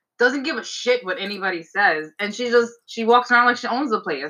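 Speaking in a New York accent, a woman has a high voice and a bright, sharp tone. Her pace is moderate. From New York, Staten Island. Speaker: fertility lab scientist. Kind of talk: casual interview. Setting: video call from home.

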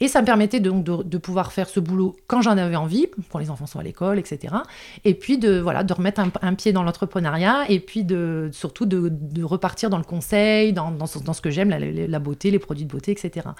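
Over a silent background in a very clean recording, a woman talks fairly quickly at medium pitch with ordinary variation. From northern France. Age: 30s. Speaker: foster carer and entrepreneur. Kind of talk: interview.

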